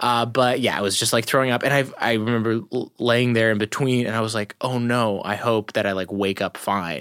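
In a very clean recording with a silent background, a man with an unremarkable speaking voice talks at a fairly quick pace and medium pitch, with hardly any pauses. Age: 20s. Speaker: stand-up comedian. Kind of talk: casual chat.

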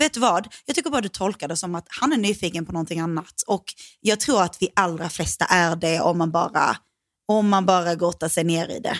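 A woman's fairly low voice at a fairly quick pace, with ordinary pitch variation, a dry, close sound with no echo, and a very clean recording with a silent background. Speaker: podcast co-host. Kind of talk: casual chat. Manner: fast, stressed and loud; animated.

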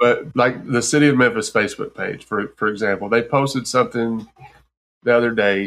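A man with an American accent speaks in a plain, everyday voice at medium pitch and a moderate pace, with fairly even intonation. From Texas. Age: 40s. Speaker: podcast host. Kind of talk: casual chat.

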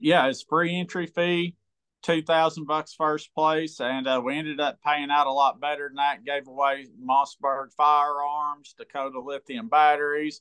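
A man's fairly high voice with an American accent, at a fairly slow pace. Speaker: pro bass angler. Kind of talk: casual chat. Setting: remote call. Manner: animated.

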